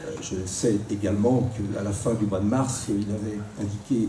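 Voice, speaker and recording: Against noticeable background noise and audible room echo, a man speaks in a fairly low pitch with fairly even intonation. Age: 60s. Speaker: politician. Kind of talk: debate. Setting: live radio debate in a public hall. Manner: hesitant, frequent filler words.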